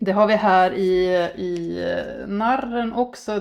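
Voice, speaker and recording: A woman talks at a very slow pace. Her pitch is medium, with ordinary variation. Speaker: tarot reader. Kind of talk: tarot reading. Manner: halting.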